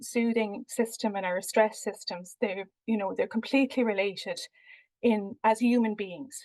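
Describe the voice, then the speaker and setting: A woman with an Irish accent speaks at a moderate pace, her fairly high voice held in fairly even intonation. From Ireland. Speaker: researcher. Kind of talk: research presentation. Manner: hesitant, many fillers.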